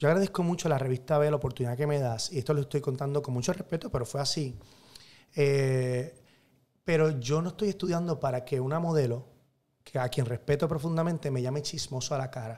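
A fairly high male voice with a Puerto Rican accent, somewhat breathy with a dark, mellow tone, at a fairly quick pace. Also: ordinary pitch variation. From Puerto Rico, Carolina. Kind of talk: casual interview chat. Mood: animated storytelling. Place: studio. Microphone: studio mic.

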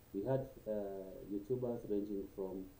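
The voice has a dark, mellow tone and moves at a fairly slow pace, with audible room echo. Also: man. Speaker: YouTuber. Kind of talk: casual vlog chat. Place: home room. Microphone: webcam.

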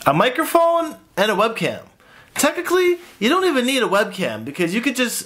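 The man's pitch swings very widely as he talks. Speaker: vlogger. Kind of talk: casual vlog chat. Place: home room. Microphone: phone near.

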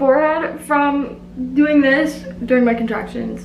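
Speaking very slowly in a high voice with ordinary pitch variation, a woman is heard over light background noise and audible room echo. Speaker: vlogger. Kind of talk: casual vlog chat. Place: bathroom. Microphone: phone near.

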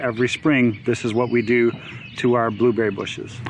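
A man speaks at a moderate pace over light background noise, the sound dry with no echo. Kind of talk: casual vlog tutorial. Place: garden.

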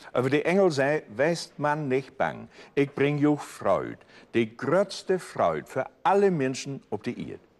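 The man speaks at a very slow pace. His pitch variation is ordinary. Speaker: storyteller. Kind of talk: Bible story reading in dialect. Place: studio.

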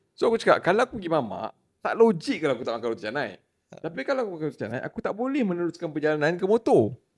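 Speaking at a very fast pace with hardly any pauses, a man uses a high pitch with very wide pitch swings and big swings in loudness. The background is quiet. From Malaysia. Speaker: trail runner, podcast guest; podcast guest. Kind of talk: casual chat. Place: studio. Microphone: studio mic.

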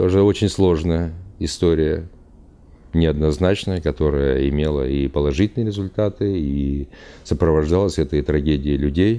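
Very deep, low male voice with ordinary pitch variation. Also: moderate pace. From Uzbekistan. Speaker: traveler, retired military officer. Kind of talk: interview monologue; interview answer. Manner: halting. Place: studio.

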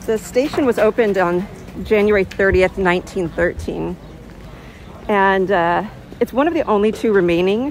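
A woman talks at a moderate pace with ordinary pitch variation, in a dry sound with no echo over light background noise. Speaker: tour guide vlogger. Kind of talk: casual walking tour commentary. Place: street. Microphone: phone near.

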